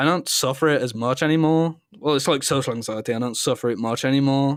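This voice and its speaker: A man talks at a very fast pace with a British accent, his pitch fairly high. The recording is very clean with a silent background. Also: ordinary pitch variation. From UK. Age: young. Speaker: streamer. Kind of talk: casual chat.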